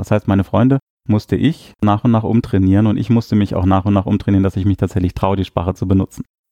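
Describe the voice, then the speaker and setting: A very fast man's voice, fairly low-pitched with a dark, mellow tone and fairly even intonation, in a dry, close sound with no echo over a quiet background. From northern Germany. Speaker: linguistics professor. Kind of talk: interview.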